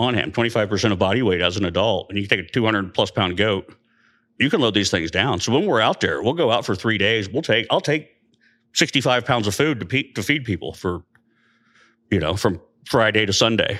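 In an American accent, a bright, sharp voice moves at a fairly quick pace with ordinary pitch variation over a very clean, silent background. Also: man, fairly low pitch for a man. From central Indiana. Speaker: army medic veteran. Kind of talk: casual chat. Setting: studio.

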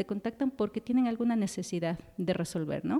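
Her voice is medium in pitch for a woman. It has a dark, mellow tone. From Ecuador, Quito. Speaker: telecommunications engineer. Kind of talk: interview. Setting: studio. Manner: halting, many fillers.

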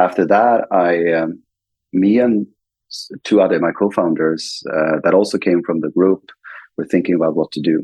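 With a Swedish accent, a man speaks in a very deep, low voice at a moderate pace, his intonation fairly even and his pauses long and frequent. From Sweden. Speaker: fintech CEO and co-founder. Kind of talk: interview.

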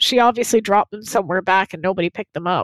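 A woman speaks in a dry, close sound with no echo. The recording is very clean, with a silent background. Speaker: podcast host. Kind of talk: casual podcast discussion of a TV episode. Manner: chatty, laughs often.

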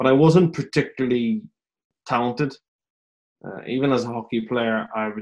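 With a Northern Irish accent, a man talks at a moderate pace and a medium pitch, his intonation fairly even. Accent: Northern Irish (Belfast). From Northern Ireland, Belfast. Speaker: head of performance at a rugby club. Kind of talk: casual interview. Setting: remote call from home.

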